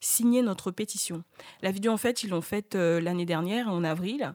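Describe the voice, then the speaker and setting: A woman's medium-pitched voice with ordinary pitch variation, in a very clean recording with a silent background. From French-speaking Africa. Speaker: radio panelist. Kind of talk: radio discussion.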